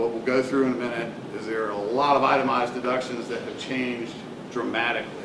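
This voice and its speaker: Amid noticeable background noise and audible room echo, a man of medium pitch speaks in a monotone, flat way at a fairly quick pace. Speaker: accountant giving a tax presentation. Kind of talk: presentation to business association. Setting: room with live audience. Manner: fast.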